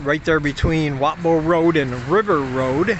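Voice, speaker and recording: The speech moves at a fairly slow pace with ordinary pitch variation, over noticeable background noise. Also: man. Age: 50s. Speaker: expat vlogger. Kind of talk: casual vlog talk.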